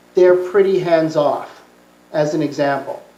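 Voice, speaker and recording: A woman with a Canadian accent speaks at a fairly slow pace and medium pitch, with audible room echo. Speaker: conference speaker, TV producer. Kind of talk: Q&A answer at academic conference. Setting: conference talk with audience. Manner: halting, many fillers.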